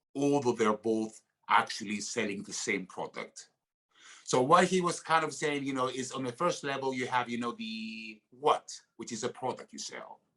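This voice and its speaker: With a Greek accent, a man speaks at a medium pitch and moderate pace, his bright, sharp tone showing big swings in loudness and ordinary pitch variation. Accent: Greek accent, noticeable. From Greece. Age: 50s. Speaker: actor. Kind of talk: podcast interview. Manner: halting, many fillers.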